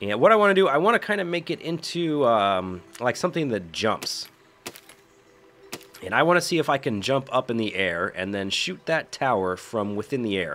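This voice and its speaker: A man's medium-pitched voice at a moderate pace, full of very wide pitch swings. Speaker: gaming video creator. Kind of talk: gameplay commentary. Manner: casual.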